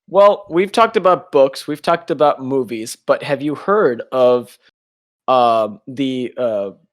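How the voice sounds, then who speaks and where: Very wide pitch swings from a man with a fairly high voice. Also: fairly slow pace. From United States. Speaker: podcast co-host. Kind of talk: casual chat. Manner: halting, many restarts.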